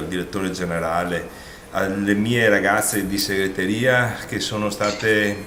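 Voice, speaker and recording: A man with a fairly low voice talks at a fairly slow pace in a flat monotone, with audible room echo and noticeable background noise. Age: 60s. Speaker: outgoing provincial president, politician. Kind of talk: farewell interview statement.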